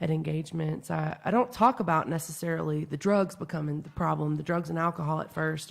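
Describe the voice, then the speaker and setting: This woman's voice sits very deep and low. She talks at a fairly quick pace. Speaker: person in addiction recovery. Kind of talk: podcast interview. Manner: loud.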